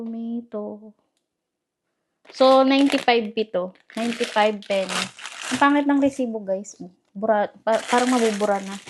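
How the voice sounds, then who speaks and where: This woman is soft-spoken, with a fairly high pitch and fairly even intonation. She talks at a moderate pace, leaving long, frequent pauses. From Philippines. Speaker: vlogger. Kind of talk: casual vlog chat. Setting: at home. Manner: soft-spoken, speaking quietly.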